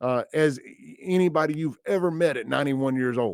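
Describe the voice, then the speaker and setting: A man with a Southern US accent, fairly high in pitch with ordinary pitch variation, on a very clean recording with a silent background. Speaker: radio host. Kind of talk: talk radio monologue. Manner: casual, halting.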